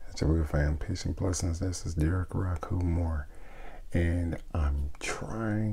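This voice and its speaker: A soft-spoken, somewhat breathy man with a very deep, low pitch and a dark, mellow tone, at a fairly slow pace with fairly even intonation, amid audible room echo. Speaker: spiritual teacher. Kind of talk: casual teaching talk.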